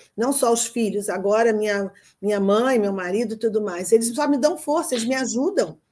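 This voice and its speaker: In a very clean recording with a silent background, a woman speaks at a moderate pace in a fairly high pitch with a dark, mellow tone and ordinary pitch variation. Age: 70s. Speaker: pediatrician. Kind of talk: coaching session.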